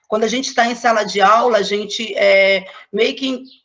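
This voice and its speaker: Fairly slow speech from a woman, pitch varying in an ordinary way. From Brazil, Angra dos Reis. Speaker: schoolteacher. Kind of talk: online talk / panel presentation.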